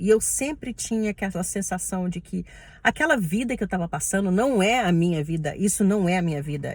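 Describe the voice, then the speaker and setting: Somewhat breathy and with lively intonation, a woman with a Brazilian accent speaks at medium pitch and a moderate pace in a very clean recording with a silent background. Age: 30s. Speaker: respiratory therapist. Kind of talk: personal vlog monologue.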